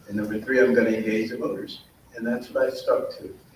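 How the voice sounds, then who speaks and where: A man talks while noticeable background noise carries on around him. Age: 60s. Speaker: mayoral candidate. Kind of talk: candidate forum answer.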